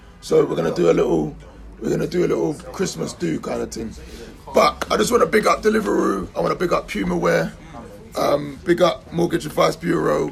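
A man talks at a fairly quick pace. There is noticeable background noise behind him. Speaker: podcast host. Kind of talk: casual banter, football podcast. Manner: animated, joking.

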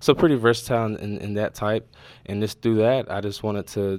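On a very clean recording with a silent background, a man with a plain, everyday voice talks at a fairly quick pace and fairly low pitch. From North Carolina. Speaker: video producer. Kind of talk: interview.

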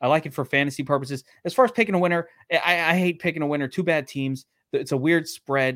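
Very fast and fairly high-pitched, a man with an American accent speaks with ordinary pitch variation in a very clean recording with a silent background. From Brooklyn, New York. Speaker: sports betting podcast co-host. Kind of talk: casual chat. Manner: animated.

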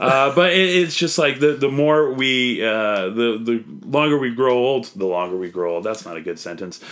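A medium-pitched man with a Canadian accent, very wide pitch swings and a moderate pace, over noticeable background noise. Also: hardly any pauses. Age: 30s. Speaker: comedian. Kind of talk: casual debate.

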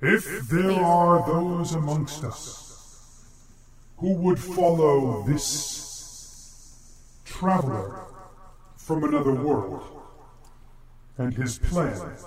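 A man speaks very slowly in a put-on character voice, pitched fairly high, with long, frequent pauses. There's clear background noise and a slight echo. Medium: actual play. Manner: formal, solemn.

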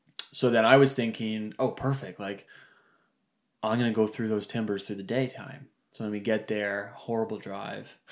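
A man's fairly low voice at a moderate pace, monotone and flat in intonation. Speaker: hunter. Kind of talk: casual chat. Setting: studio. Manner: joking, bantering.

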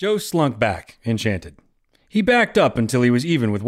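The background stays quiet while an unforced reading voice is heard.

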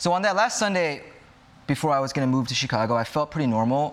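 With an American accent, a man talks at a fairly quick pace in an unremarkable speaking voice, his pitch fairly high. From Los Angeles, US. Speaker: speaker at church discussion group. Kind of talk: talk to a group.

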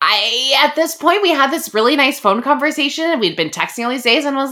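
Amid noticeable background noise, a woman with a high pitch speaks at a fairly quick pace. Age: 30s. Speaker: podcast host. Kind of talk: casual chat. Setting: remote recording.

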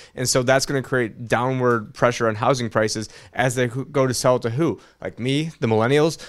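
Medium-pitched with fairly even intonation, a man moves at a fairly quick pace in an ordinary speaking voice. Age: 30s. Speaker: financial commentator. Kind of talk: casual political commentary chat.

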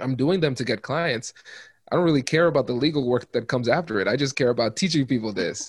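With an American accent, a man talks very fast, his pitch varying in an ordinary way. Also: medium pitch for a man. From small-town Ohio, US Midwest, Caribbean family. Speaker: negotiation expert and law professor. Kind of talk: interview.

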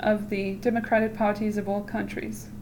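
A woman speaks in a fairly high voice at a moderate pace. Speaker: podcast host reading aloud. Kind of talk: reading aloud of a text. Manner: casual, joking, swears a lot.

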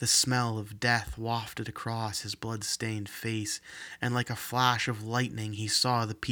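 What we hear is a natural reading voice.

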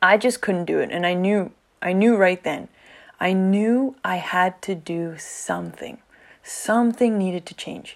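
A woman with a plain, everyday voice at a medium pitch speaks at a fairly slow pace with ordinary pitch variation and big swings in loudness, in a very clean recording with a silent background. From Canada. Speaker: podcast host, teacher. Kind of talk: solo podcast monologue.

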